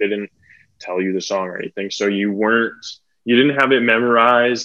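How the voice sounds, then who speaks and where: The speech carries a Western Canadian accent and fairly even intonation. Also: man. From Metro Vancouver, British Columbia, Canada. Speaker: stand-up comedian. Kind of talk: casual chat. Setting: podcast recording.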